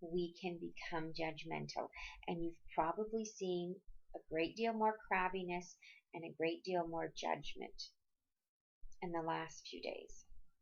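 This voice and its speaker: A woman speaks at a fairly slow pace. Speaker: astrologer. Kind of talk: astrology forecast monologue.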